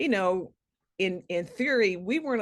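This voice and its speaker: A woman speaks at medium pitch and a moderate pace. Her intonation is lively. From US, Chicago-born military family, moved around. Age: 60s. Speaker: children's author. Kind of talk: interview, personal story. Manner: hesitant, many fillers.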